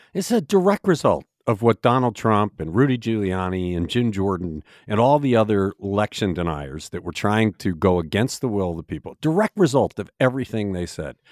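A man speaks in a normal speaking voice with a fairly low pitch and lively intonation, moving at a fairly quick pace with hardly any pauses, on a very clean recording with a silent background and a dry, close sound with no echo. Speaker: news editor and podcast host. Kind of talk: news discussion podcast. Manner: opinionated.

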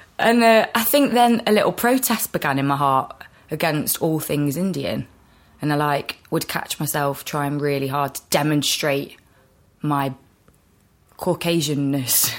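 Speaking at a fairly slow pace, a woman uses a very deep, low pitch with lively intonation. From England, Nottingham. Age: 20s. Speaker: actor. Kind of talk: casual chat. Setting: cafe.

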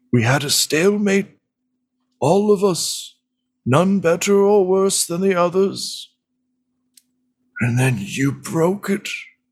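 In a put-on character voice, a man speaks at a high pitch and a fairly slow pace with long, frequent pauses, in a very clean recording with a silent background. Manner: weary, sorrowful, pleading.

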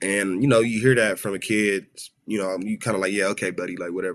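Talking at a fairly quick pace, a man with an American accent uses an ordinary speaking voice, with a fairly low pitch and ordinary pitch variation. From South Central Los Angeles, US. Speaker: rapper. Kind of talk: casual interview chat. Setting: video call.

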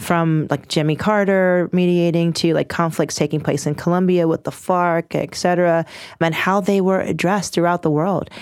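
In an American accent, a woman with an unremarkable speaking voice talks at a moderate pace and a fairly low pitch, on a very clean recording with a silent background. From US, Washington, D.C. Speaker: lawyer and mediator. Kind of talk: interview.

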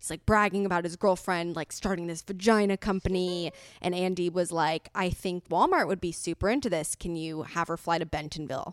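A woman speaks at a fairly quick pace in a Californian accent, with hardly any pauses. The sound is dry and close, with no echo. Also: fairly low pitch for a woman, fairly even intonation. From Los Angeles. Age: 20s. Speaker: entrepreneur. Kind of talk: casual interview. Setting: remote recording.

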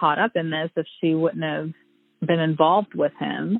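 In an American accent, a woman with an ordinary speaking voice talks at a moderate pace, her fairly low pitch showing ordinary variation. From Joplin, Missouri. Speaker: former classmate of the subject. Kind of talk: interview testimony.

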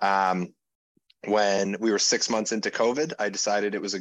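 Here is a man with an unremarkable speaking voice and a fairly low pitch. He goes at a moderate pace. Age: 30s. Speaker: gym owner and strength coach. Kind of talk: interview.

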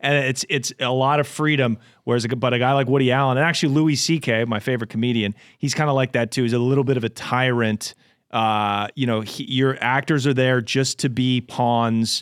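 At a fairly quick pace, a man with a normal speaking voice talks at a medium pitch. His intonation is fairly even and his loudness very even. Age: 30s. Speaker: podcast host. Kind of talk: casual chat. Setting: studio.

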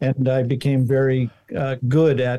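A man speaks at a medium pitch with a dark, mellow tone. His voice is somewhat breathy. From Montana. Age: 60s. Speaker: inventor. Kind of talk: interview.

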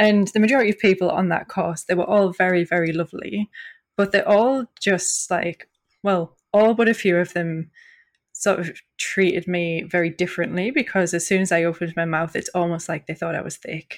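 A woman with a Northeast English accent at a moderate pace, on a very clean recording with a silent background. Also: medium pitch for a woman, ordinary pitch variation. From northeast England (County Durham). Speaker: journalist and PhD researcher. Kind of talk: podcast interview.

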